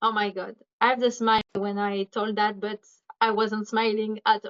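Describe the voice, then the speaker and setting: This woman speaks with a French accent. Her pitch is fairly high. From France. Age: 20s. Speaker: recovered patient. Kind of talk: interview. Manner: halting.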